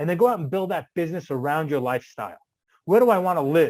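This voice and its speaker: Using lively intonation and an animated tone, a man talks at a fairly high pitch. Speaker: real estate investor. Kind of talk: seminar talk. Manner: fast.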